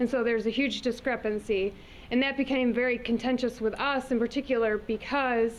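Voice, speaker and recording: Her loudness very even, a woman with an American accent talks at a fairly quick pace in a high pitch with monotone, flat intonation. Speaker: environmental advocate. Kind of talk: presentation. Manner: fast.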